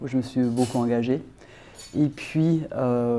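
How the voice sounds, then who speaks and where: A woman speaks in a very deep, low voice with a dark, mellow tone. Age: 60s. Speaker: politician. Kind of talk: interview.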